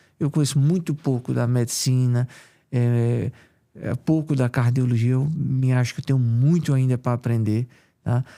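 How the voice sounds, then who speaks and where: A man with a strong Paraíba accent, a dark, mellow tone, medium pitch, fairly even intonation and a moderate pace. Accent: strong Paraíba northeastern. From Paraíba, Brazilian Northeast. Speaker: cardiologist. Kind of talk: interview.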